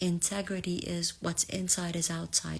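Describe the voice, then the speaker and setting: A somewhat breathy woman's voice, fairly low in pitch, with fairly even intonation and an Arabic accent, on a very clean recording with a silent background. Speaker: spiritual reader. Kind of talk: live collective reading. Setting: livestream.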